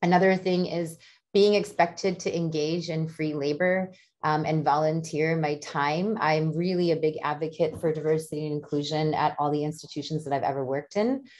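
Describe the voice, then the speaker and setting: Woman with a General American accent, very deep and low in pitch, with fairly even intonation at a moderate pace against a quiet background. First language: Malayalam. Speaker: diversity trainer and professor. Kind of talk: interview, personal testimony.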